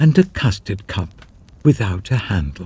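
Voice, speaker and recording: There's vocal fry in this man's voice. His pitch rises and falls in very wide swings. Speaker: narrator. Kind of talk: classic ghost story reading. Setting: studio.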